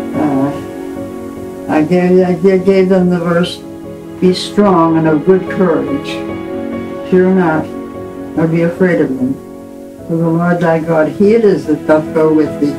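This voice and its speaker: Over clear music in the background, a woman speaks at a fairly low pitch and a fairly slow pace, with ordinary pitch variation and long, frequent pauses. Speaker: grandmother. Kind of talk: farewell message to family. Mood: tender, calm farewell. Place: home room.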